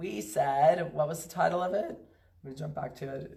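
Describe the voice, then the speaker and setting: Vocal fry runs through a woman's voice at a moderate pace. Her pitch variation is ordinary, and there is audible room echo. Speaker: pet food company founder hosting a live stream. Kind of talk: casual live stream talk.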